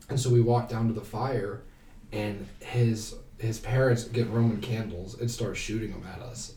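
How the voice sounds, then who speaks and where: In a room with audible echo, a man with an American accent speaks at a moderate pace in a medium pitch, sounding somewhat breathy. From Ohio, Canton. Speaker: university student. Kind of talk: casual chat. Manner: animated.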